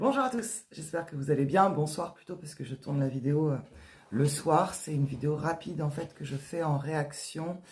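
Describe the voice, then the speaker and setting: A woman's somewhat breathy voice, very deep and low in pitch, with ordinary pitch variation. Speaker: author and writing workshop leader. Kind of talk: casual vlog talk. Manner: fast; hesitant, many fillers.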